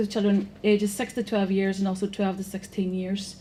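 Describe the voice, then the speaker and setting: The voice is somewhat breathy, in a Northern Irish accent. It moves at a fairly quick pace. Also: woman. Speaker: programme manager, conference speaker. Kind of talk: conference presentation. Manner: fast.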